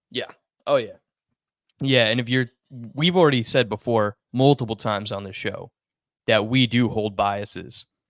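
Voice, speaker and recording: On a very clean recording with a silent background and a dry, close sound with no echo, a man with an American accent speaks at medium pitch with ordinary pitch variation, at a moderate pace with long, frequent pauses. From United States. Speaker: sports podcast co-host. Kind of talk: casual chat.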